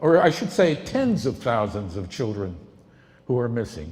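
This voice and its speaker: The speaker goes at a fairly slow pace with very wide pitch swings and vocal fry. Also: man. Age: 70s. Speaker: political campaign volunteer introducing a documentary. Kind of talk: speech introducing a film screening.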